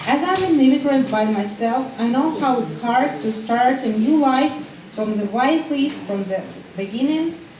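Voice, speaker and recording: The speaker has a Ukrainian accent and lively intonation at a moderate pace. Noticeable background noise and audible room echo fill the recording. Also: woman, high pitch for a woman. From Ukraine, Odessa. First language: Ukrainian or Russian. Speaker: refugee support worker. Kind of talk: public speech.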